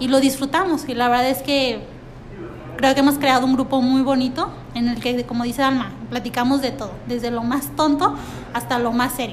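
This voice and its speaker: Fairly even intonation comes through with audible room echo and noticeable background noise. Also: woman, high pitch for a woman, moderate pace. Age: 30s. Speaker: podcast co-host. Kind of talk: casual chat. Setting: café.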